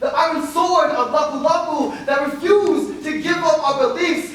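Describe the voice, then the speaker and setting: With noticeable background noise behind him, a man with an American accent speaks at an extremely high pitch with fairly even intonation. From Filipino American. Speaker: spoken word poet. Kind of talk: spoken word poetry performance. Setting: live stage performance.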